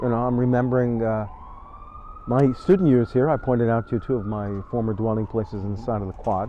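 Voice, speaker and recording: Fairly quick, medium-pitched speech from a man, noticeable background noise behind it. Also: ordinary pitch variation. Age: 70s. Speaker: retired rabbi. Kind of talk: interview. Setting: outdoors on a bench. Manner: reflective, halting with many fillers.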